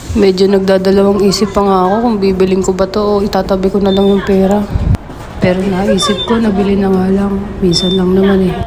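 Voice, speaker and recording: Speaking at a fairly quick pace, a woman keeps her medium pitch monotone and flat and her loudness very even, with noticeable background noise and audible room echo. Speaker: vlogger. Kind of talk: vlog narration. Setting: outdoors.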